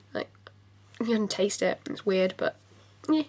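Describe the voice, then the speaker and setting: A woman speaks at a fairly high pitch in a British accent. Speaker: beauty vlogger. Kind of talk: casual product review to camera.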